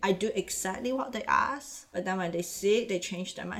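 The speaker is a woman. She talks with a Chinese accent. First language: Chinese (Mandarin). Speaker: animator and illustrator. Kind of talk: interview.

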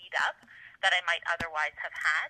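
The voice has a bright, sharp tone and an Ontario accent. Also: woman. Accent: Canadian (Ontario). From Cobourg, Ontario, Canada. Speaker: lawyer and political candidate. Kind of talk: interview.

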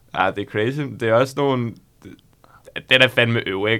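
The speech is very fast and has a bright, sharp tone with ordinary pitch variation. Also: man. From Copenhagen, Denmark. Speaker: law podcast co-host. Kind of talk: casual chat.

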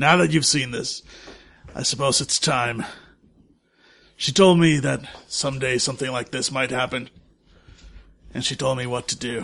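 A man uses a raspy, put-on character voice at medium pitch. He keeps a moderate pace with long, frequent pauses. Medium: actual play. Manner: deadpan, blunt.

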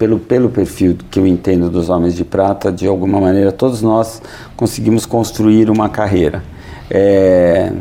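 A man's fairly low, dark, mellow voice at a moderate pace, with very even loudness and fairly even intonation. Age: 50s. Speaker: dentist. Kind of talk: interview. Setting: auditorium at the guest's organization. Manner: halting, repeats words.

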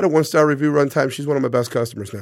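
A man with an American accent talks at a fairly high pitch with ordinary pitch variation. The recording is very clean, with a silent background. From Detroit, Michigan (East Side). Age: 40s. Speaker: sports bar owner. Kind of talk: casual chat. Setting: studio.

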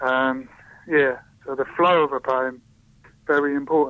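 A man with an English accent speaks at a fairly slow pace. His pitch is fairly high, and his intonation is fairly even. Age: 30s. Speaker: poet. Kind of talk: interview. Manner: hesitant.

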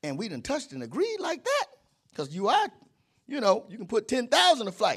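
A man speaks in an animated tone at an extremely high pitch. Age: 50s. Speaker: church elder preaching a guest sermon. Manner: animated, exclamatory, with frequent laughs and 'whew' interjections; halting, repeating words while building to emphatic points.

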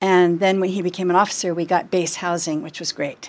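A woman with a plain, everyday voice speaks at a fairly low pitch with fairly even intonation. The recording is very clean, with a silent background. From US, moved around (Air Force family). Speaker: media company owner and sommelier. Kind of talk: interview.

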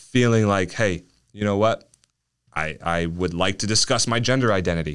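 A normal speaking voice from a man, fairly low in pitch, with lively intonation. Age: 30s. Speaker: lawyer and podcast host. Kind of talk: podcast monologue. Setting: studio. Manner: casual, many fillers.

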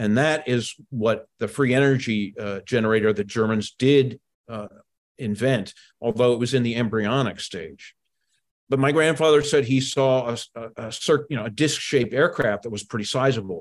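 Speaking with an American accent at a moderate pace, a man uses an unremarkable speaking voice at medium pitch, with ordinary pitch variation and big swings in loudness. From Washington, D.C. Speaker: author and historian. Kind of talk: interview.

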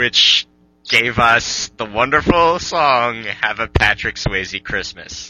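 Music plays in the background. A man talks at a very slow pace. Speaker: podcast host. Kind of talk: casual chat.

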